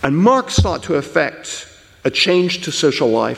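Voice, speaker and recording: A man speaks over noticeable background noise. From English-speaking country. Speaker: historian of political thought. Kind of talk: conference lecture.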